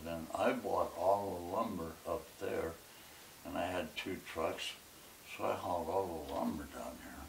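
Very slow pace from a man, audible room echo, light background noise. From Arkansas. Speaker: businessman, war veteran. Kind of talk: interview answer. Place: home room.

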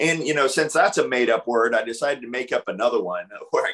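In a quiet background, the man's speech rushes along at a very fast pace. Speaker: author and technology researcher; presenter. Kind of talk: webinar presentation. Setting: video call. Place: home room. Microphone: video call.

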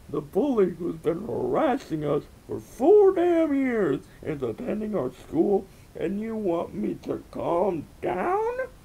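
A put-on character voice with vocal fry, a dark, mellow tone, very wide pitch swings and a slow pace. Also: man, high pitch for a man.

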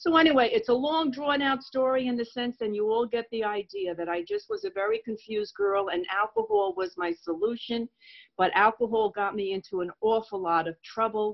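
A woman's fairly high voice, an ordinary speaking voice, with lively intonation, a fairly quick pace, hardly any pauses and an American accent. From New York. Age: 60s. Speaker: recovering alcoholic speaker. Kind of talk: testimony. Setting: video call.

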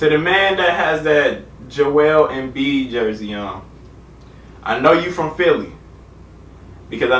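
A man is heard with audible room echo. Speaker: youtuber reacting to video. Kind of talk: casual vlog chat. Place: home room. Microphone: camera far.

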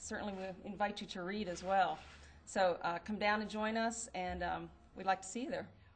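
Light background noise sits beneath a woman whose intonation stays fairly even. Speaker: school environmental educator. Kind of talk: press statement. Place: hall. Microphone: podium.

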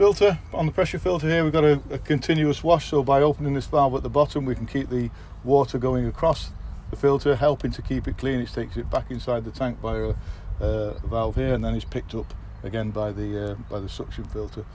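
Light background noise sits under talking that runs at a fairly quick pace. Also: man. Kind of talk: product walkaround explanation. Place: open country. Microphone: phone near.

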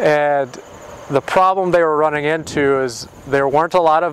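A man at a moderate pace with fairly even intonation, in a dry sound with no echo and light background noise. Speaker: presenter. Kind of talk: explanatory interview talk. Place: open country. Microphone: lapel.

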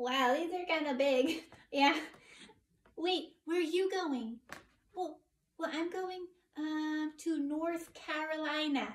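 A woman uses a put-on character voice at an extremely high pitch for a woman. She talks at a fairly slow pace with long, frequent pauses. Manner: hesitant, excited.

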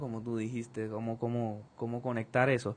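In a monotone, flat intonation, a man talks at a fairly slow pace. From Colombia. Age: 20s. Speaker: percussionist; interviewee. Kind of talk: interview. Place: studio. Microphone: studio mic.

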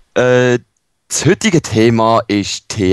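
On a very clean recording with a silent background, a man speaks with a Swiss accent. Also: dry, close sound with no echo. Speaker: let's player. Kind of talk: casual gaming commentary.

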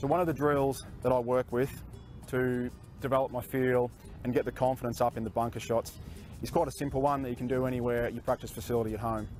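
A man talks at a very fast pace with fairly even intonation, the sound dry and echo-free, with faint music playing in the background. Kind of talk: tutorial. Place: open country.

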